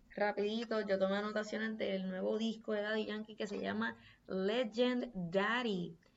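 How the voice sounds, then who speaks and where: At a very slow pace, a woman talks in a flat monotone at medium pitch. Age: 20s. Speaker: podcast host. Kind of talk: casual monologue.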